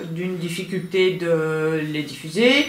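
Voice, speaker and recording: A woman at a very slow pace, with light background noise and audible room echo. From Belgium. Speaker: crime novelist and small publisher. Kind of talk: interview; interview answer. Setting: at her home. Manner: halting. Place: home room. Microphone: camera far.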